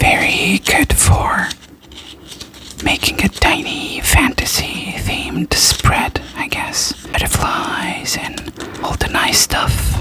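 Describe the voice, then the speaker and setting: Through noticeable background noise, a woman's very slow whisper can be heard. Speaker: ASMR creator. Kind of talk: whispered ASMR unboxing haul. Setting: studio, recorded with a Blue Yeti microphone. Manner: soft-spoken, whispering.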